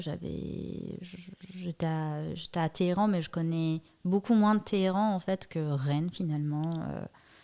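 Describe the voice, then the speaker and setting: With a Persian accent, a woman speaks at a very slow pace and fairly low pitch, her intonation fairly even and her tone dark and mellow. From Iran, Tehran. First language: Persian (speaking French). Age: 20s. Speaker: artist and digital mediator. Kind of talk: podcast interview. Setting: recording at her workplace lab. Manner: hesitant, many fillers.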